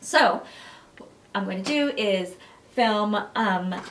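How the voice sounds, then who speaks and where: A woman speaks with lively intonation amid audible room echo and noticeable background noise. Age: 40s. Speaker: beauty blogger. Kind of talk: product review vlog. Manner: casual, chatty with fillers.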